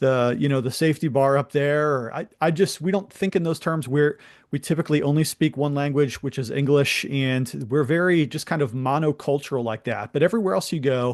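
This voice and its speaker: An ordinary speaking voice with an American accent, at a fairly quick pace with hardly any pauses, ordinary pitch variation, and a quiet background. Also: man, fairly high pitch for a man. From USA. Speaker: pastor and YouTube host. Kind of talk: interview.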